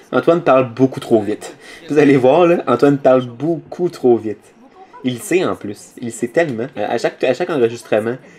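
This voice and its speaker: Noticeable background noise is present throughout. The man's voice sits at a medium pitch. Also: ordinary pitch variation. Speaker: machinima series creator. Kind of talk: audio commentary. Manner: fast; improvised, hesitant.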